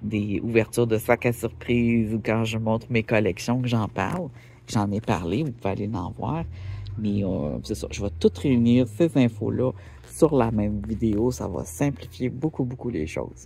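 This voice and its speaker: This voice has a dark, mellow tone with vocal fry and a Quebec accent. Its intonation is lively, and the pace is fairly slow. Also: man, medium pitch for a man. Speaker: rockhound YouTuber. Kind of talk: casual vlog talk. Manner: hesitant, many fillers.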